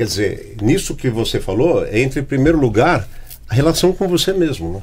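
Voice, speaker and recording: A somewhat breathy man's voice moves through very wide pitch swings. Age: 60s. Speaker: podcast host. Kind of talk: casual chat. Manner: halting.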